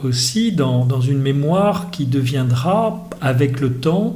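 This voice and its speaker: A man's fairly high voice with lively intonation at a very slow pace, amid noticeable background noise and audible room echo. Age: 60s. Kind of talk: podcast interview. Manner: hesitant, many fillers.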